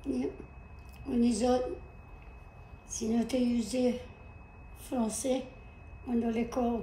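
A woman with a high-pitched voice speaks at a very slow pace with long, frequent pauses, very even loudness, and fairly even intonation, with light background noise and audible room echo. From Louisiana. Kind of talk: interview answer. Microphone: camera far.

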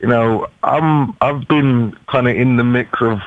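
A man talks with ordinary pitch variation in a dry recording with no echo. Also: quiet background. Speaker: caller. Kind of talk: interview answer. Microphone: phone line.

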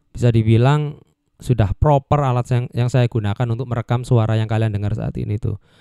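A man speaks with a dark, mellow tone. The background is quiet and the sound is dry with no echo. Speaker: mic reviewer. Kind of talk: casual review chat. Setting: home studio. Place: home room. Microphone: handheld.

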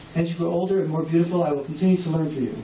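Recorded with audible room echo and light background noise, a man speaks at a high pitch. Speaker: event host introducing speaker. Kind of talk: introduction speech. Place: shop. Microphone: camera far.

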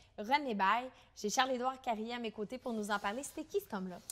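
At a fairly quick pace, a woman speaks in a fairly high pitch. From Quebec. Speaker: web series host. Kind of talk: casual interview. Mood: warm, smiling. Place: shop. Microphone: lapel.

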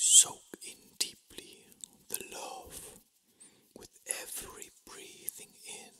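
Someone whispers at a very slow pace with long, frequent pauses. Noticeable background noise sits behind the voice. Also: man. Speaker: reiki master. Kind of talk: guided meditation. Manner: whispering.

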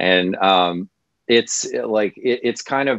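Over a quiet background, a man with a Midwestern American accent speaks at a fairly slow pace. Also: dry sound with no echo. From US Midwest. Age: 40s. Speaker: comedian. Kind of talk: casual interview. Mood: relaxed, thoughtful. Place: home room. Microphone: video call.

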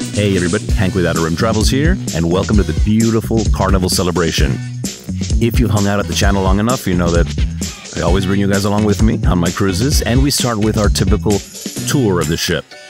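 A man talks at a very fast pace. Clear music plays in the background, and the sound is dry with no echo. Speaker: travel vlogger. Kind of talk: casual vlog chat. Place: hall. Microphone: handheld.

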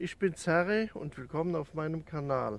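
A man speaks at a fairly slow pace with a high pitch and ordinary pitch variation. The sound is dry, with no echo. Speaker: hiking vlogger. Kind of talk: casual vlog chat. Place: open country. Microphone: phone near.

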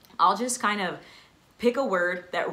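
A woman speaks with a bright, sharp tone and ordinary pitch variation, and there is audible room echo.

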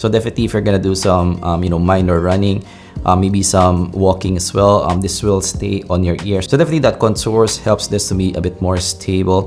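A man's very deep, low voice over faint music in the background. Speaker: tech reviewer. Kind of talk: product review commentary. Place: home room.

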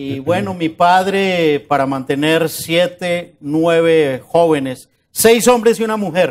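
A man with a high pitch talks at a very slow pace with hardly any pauses and ordinary pitch variation. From Colombia, Bogotá (born in Medellín, moved at 5 or 6); Colombia. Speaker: journalist and interviewee on a success-stories show; journalist, interviewee. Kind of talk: interview. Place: studio. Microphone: lapel.

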